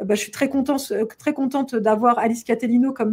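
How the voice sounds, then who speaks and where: A woman's fairly high voice at a moderate pace. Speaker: event organizer hosting a live show. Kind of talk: casual live stream chat. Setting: online live stream. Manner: animated, many hesitations.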